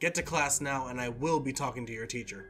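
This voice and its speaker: A man puts on a growling character voice at medium pitch, talking at a fairly quick pace. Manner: stern, scolding, authoritative.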